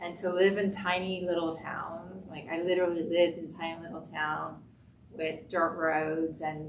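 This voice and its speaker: A woman of fairly low pitch at a moderate pace, monotone and flat in intonation, with big swings in loudness, audible room echo and noticeable background noise. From Cuba, raised in US (Florida) from age six. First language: Spanish. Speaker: healthcare executive. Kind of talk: panel discussion.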